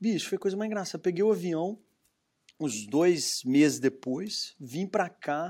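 In a very clean recording with a silent background, a man speaks fairly slowly at a high pitch with lively intonation. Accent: Minas Gerais. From Minas Gerais, Brazil (Belo Horizonte). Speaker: entrepreneur, brewery founder. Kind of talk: interview.

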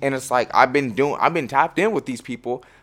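A man with an American accent speaks at a medium pitch with ordinary pitch variation, in an unremarkable speaking voice. The recording is very clean with a silent background. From Washington State, US. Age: 20s. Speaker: musician. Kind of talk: casual chat.

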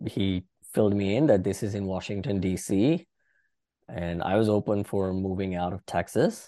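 A man speaks at a moderate pace in a fairly low voice with a dark, mellow tone and ordinary pitch variation against a quiet background. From India. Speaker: IT consulting firm founder. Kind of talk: interview.

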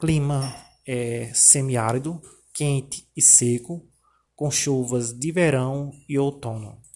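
Speaking at a very slow pace, a man has a somewhat breathy voice of medium pitch and fairly even intonation. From Paraíba sertão, Brazil. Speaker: teacher. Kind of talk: informative presentation. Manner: halting, many filler 'é'.

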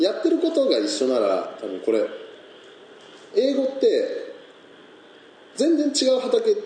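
A man talks at a fairly slow pace, leaving long, frequent pauses. Noticeable background noise and audible room echo are present. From Niigata, Japan. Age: 20s. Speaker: peach farmer. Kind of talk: casual chat.

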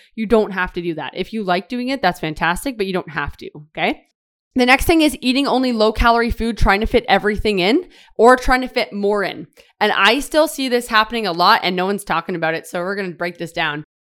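An animated woman at a fairly high pitch, very fast, on a very clean recording with a silent background. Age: 20s. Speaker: fitness coach and podcast host. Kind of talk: solo podcast monologue. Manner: fast, filler-heavy casual talk.

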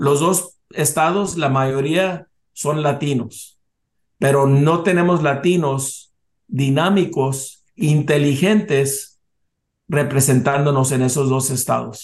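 A man with a fairly high pitch speaks at a very slow pace, keeping his loudness very even and his pitch variation ordinary. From US South, South Texas border. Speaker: business association president. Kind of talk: interview. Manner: halting.

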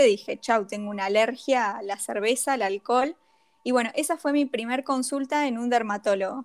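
At a moderate pace, a woman talks in a high pitch. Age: 30s. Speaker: graphic designer and skincare influencer. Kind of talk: casual interview chat.

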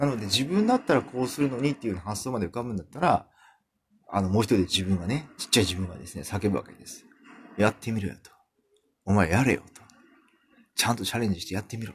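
Very fast delivery with lively intonation, big swings in loudness and long, frequent pauses. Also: man, fairly low pitch for a man. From Kumamoto, Japan. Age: 40s. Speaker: podcaster. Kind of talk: casual monologue. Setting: home room. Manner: relaxed.

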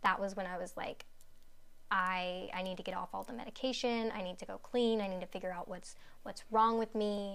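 A woman's bright, sharp voice carries fairly even intonation, with audible room echo around it. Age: 20s. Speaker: guest speaking on ADHD. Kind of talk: casual chat.

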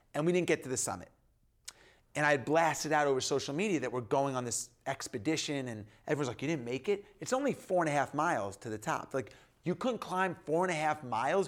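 With an American accent, a man talks in a normal speaking voice, fairly high in pitch with lively intonation. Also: very clean recording, silent background. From US Northeast, New York. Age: 40s. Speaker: entrepreneur and author. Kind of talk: casual interview chat.

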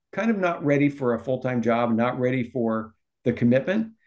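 A man's normal speaking voice, medium in pitch, with an American accent, a fairly quick pace and lively intonation. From Omaha, Nebraska. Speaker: youth ministry director. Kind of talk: casual interview.

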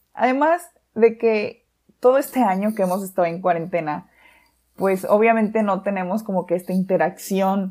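In a very clean recording with a silent background, a woman speaks at a medium pitch. Her tone is dark and mellow, and her pitch varies in an ordinary way. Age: 20s. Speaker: podcast host. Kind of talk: casual monologue. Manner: halting.

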